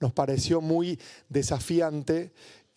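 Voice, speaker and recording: In a very clean recording with a silent background, a man speaks with a dark, mellow tone. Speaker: researcher presenting a report. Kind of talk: panel talk.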